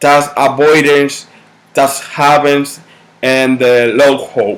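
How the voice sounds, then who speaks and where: This man speaks at a very slow pace. His pitch is fairly high. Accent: Dominican. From Dominican Republic. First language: Spanish. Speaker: university student. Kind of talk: class presentation. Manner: halting.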